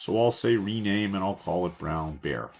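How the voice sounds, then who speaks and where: A man with a plain, everyday voice talks at a moderate pace over a quiet background. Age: 60s. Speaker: course instructor. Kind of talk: tutorial. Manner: casual, conversational.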